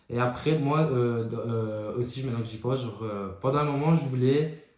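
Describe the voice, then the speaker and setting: A man with a Belgian accent, medium in pitch, at a moderate pace, with fairly even intonation and audible room echo. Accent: Belgian French, strength unsure. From Belgium. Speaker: podcast co-host. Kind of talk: casual chat.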